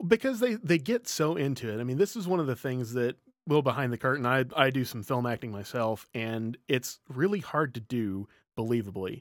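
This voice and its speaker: A man of medium pitch with an unremarkable speaking voice, lively intonation, and a moderate pace, dry and close with no echo on a very clean recording with a silent background. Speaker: guest, voice actor. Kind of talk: casual chat.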